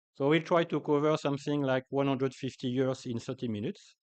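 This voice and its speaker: Talking at a moderate pace, a man speaks with a French accent. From France, Paris. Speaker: agricultural scientist. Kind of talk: conference talk. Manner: hesitant, many fillers.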